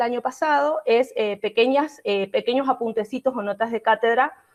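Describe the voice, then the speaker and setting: Her voice high, a woman talks at a fairly quick pace with ordinary pitch variation. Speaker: law professor. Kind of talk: online lecture. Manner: fast.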